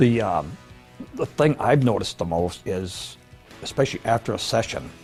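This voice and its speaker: With music in the background, a man with an American accent talks at a moderate pace using lively intonation. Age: 70s. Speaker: woodworker and brain-training client.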